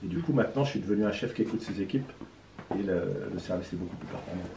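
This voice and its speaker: The man's delivery is very fast. Ordinary pitch variation runs through his speech. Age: 60s. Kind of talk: interview. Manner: hesitant with fillers.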